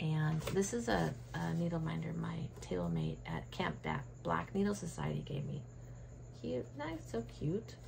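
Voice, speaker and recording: Audible room echo surrounds the voice. A woman talks fairly slowly. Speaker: cross-stitch vlogger. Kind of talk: casual show-and-tell vlog. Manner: quieter than usual; chatty, with many fillers.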